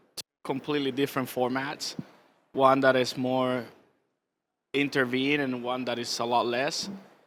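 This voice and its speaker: On a very clean recording with a silent background, a man with a Spanish accent speaks at a moderate pace in a fairly high voice. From Cuba. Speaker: visual artist. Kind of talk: onstage interview. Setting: stage with audience at art fair. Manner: hesitant, many fillers.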